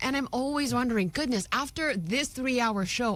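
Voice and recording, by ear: A woman's fairly high, fairly bright voice, fairly quick and with lively intonation.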